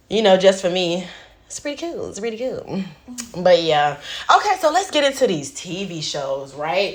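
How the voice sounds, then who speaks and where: Over noticeable background noise, a woman speaks in an animated tone at a moderate pace, her medium pitch swinging very widely and her loudness shifting a lot. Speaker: lifestyle vlogger. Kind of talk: casual chat.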